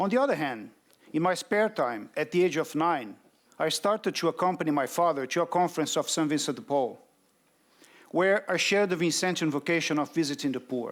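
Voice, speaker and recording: Lively intonation and a fairly quick pace carry this speech in a Brazilian Portuguese accent on a very clean recording with a silent background. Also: man, fairly high pitch for a man. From Brazil, Rio de Janeiro. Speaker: development bank representative. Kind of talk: conference speech.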